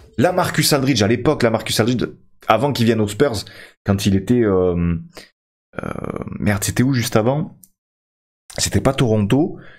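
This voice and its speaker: A man's moderate-paced speech with lively intonation and long, frequent pauses, against a quiet background. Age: 30s. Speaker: gaming YouTuber; gaming streamer. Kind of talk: gameplay commentary. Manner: hesitant, many fillers. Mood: reflective, nostalgic about players.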